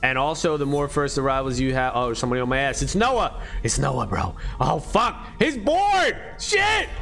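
Loud and animated, a man speaks over noticeable background noise. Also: moderate pace. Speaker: gaming streamer. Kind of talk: casual livestream chat while playing a game. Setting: livestream, screen-share gameplay. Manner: high-energy, animated, loud; casual, slangy, profane.

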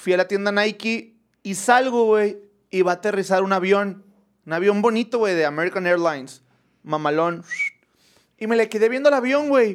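At a moderate pace, a high-pitched man speaks in an animated tone with ordinary pitch variation. Long, frequent pauses break up his speech. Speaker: podcast host. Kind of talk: casual chat.

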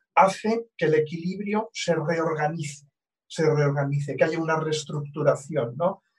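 This man has an ordinary speaking voice pitched fairly high. He moves at a moderate pace with ordinary pitch variation. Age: 60s. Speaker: astrologer. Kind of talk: casual interview conversation.

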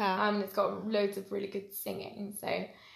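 Vocal fry from a woman at medium pitch and a moderate pace, with audible room echo. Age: 20s. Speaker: podcast guest. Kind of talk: casual chat.

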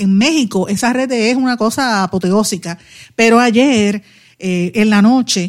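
On a very clean recording with a silent background, a plain, everyday voice shows ordinary pitch variation. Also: woman. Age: 50s. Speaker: radio host and political commentator. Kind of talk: news commentary; casual chat.

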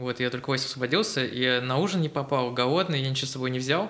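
Fairly quick in pace, a man talks with a medium-pitched voice. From Estonia (Tallinn). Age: 30s. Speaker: lettering artist. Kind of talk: casual chat.

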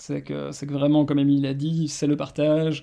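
At a fairly quick pace, a man talks in a fairly high voice with a dark, mellow tone and monotone, flat intonation. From Belgium. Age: 30s. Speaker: marketing director. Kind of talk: interview. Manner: halting.

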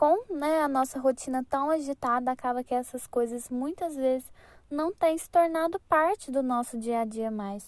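With a dry, close sound and no echo, a woman speaks at a moderate pace in a high voice, with ordinary pitch variation and big swings in loudness. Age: 20s. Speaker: podcast host, civil engineer. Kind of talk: reflective solo podcast monologue.

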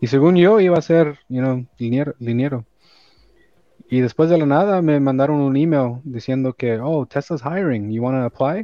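A man with a Los Angeles accent, fairly high in pitch, with ordinary pitch variation and a moderate pace. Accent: Los Angeles Spanglish, US-accented Spanish. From El Salvador, raised in Los Angeles. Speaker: electrician and business owner. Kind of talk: casual interview. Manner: code-switching English and Spanish.

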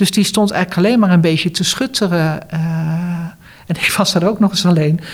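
A woman with an unremarkable speaking voice, fairly low pitch and ordinary pitch variation at a moderate pace. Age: 60s. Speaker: retired cancer support worker and former patient. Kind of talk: interview.

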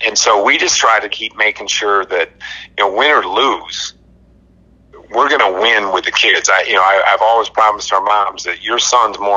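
A man talks at a moderate pace with a fairly low pitch. Noticeable background noise runs beneath him. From Michigan, Albion. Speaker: high school football coach. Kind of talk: casual interview.

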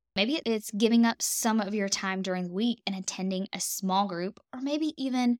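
A woman speaks in a Southern US accent with lively intonation at a moderate pace. The sound is dry and close, with no echo. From US South. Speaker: dietitian and podcast host. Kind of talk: solo podcast monologue.

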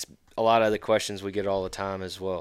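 A man with a Southern US accent speaks in a fairly low, monotone, flat voice. The recording is very clean, with a silent background. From Mississippi (Brandon, Jackson area). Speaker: student conservation club leader. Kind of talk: casual chat.

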